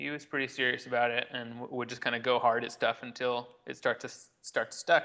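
In a flat monotone, a man with an American accent talks at a medium pitch with a bright, sharp tone. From US Midwest (Illinois), then California. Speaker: professional juggler. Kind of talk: casual interview chat.

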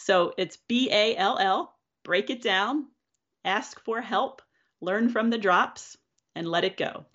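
Ordinary pitch variation in a normal speaking voice, with an American accent. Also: woman. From Pennsylvania, Philadelphia suburbs. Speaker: juggler and keynote speaker. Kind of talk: casual interview.

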